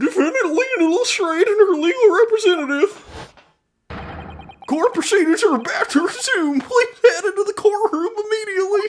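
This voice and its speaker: Using a put-on character voice at an extremely high pitch, the speaker keeps a moderate pace. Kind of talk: formal PA announcement.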